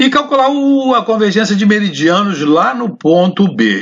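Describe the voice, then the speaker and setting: A man with a high pitch talks at a fairly slow pace, his voice moving through very wide pitch swings. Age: 70s. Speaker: surveying professor. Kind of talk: lecture. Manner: halting.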